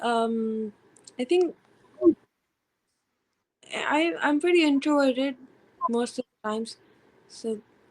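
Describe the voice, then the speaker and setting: Soft-spoken and high-pitched, a woman talks very slowly with long, frequent pauses. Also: lively intonation. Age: 20s. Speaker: student. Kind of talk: interview answer.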